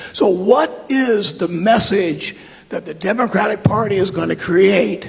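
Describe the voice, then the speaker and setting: Heard through noticeable background noise, a man speaks with a high pitch. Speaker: constituent asking a question. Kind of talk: town hall question. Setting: high school town hall with audience.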